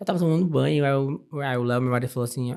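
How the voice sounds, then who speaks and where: A man's dark, mellow voice at a medium pitch, with ordinary pitch variation and a fairly quick pace. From Brazil, interior of Ceará. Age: 30s. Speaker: architect. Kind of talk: interview conversation. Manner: animated.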